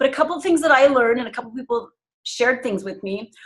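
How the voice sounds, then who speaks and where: A woman talks with a high pitch. Her pace is very fast. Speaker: group coach leading a call. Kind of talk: group video call coaching.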